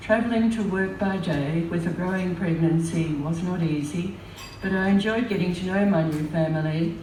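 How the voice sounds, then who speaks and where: A woman's fairly low voice in an Australian accent, moderate in pace with ordinary pitch variation, amid audible room echo and noticeable background noise. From Australia, Melbourne. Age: 80s+. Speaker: memoir storyteller. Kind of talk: reading aloud.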